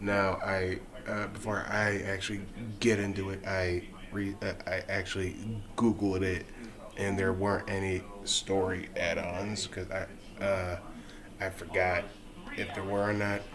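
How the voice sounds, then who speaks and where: Over noticeable background noise and audible room echo, a man speaks at a fairly slow pace in a monotone, flat intonation. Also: fairly low pitch for a man. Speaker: game reviewer and rapper. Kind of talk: casual video review. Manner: halting.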